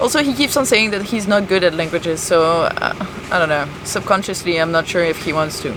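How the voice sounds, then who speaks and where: A woman with a French accent speaks at a fairly quick clip in a fairly low voice, her intonation lively and her pauses hardly any, over noticeable background noise. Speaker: sailing vlogger. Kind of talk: casual chat.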